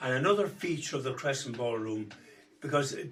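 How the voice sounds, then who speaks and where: Speaking fairly quickly with lively intonation, a man has an Irish Midlands accent. Audible room echo and noticeable background noise are present. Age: 80s+. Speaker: singer. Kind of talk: casual chat. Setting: at home.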